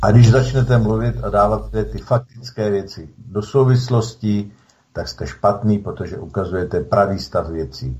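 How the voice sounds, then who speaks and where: A man speaks at a moderate pace in a fairly low, somewhat breathy voice, his pitch swinging very widely. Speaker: reserve soldier activist. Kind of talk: radio interview.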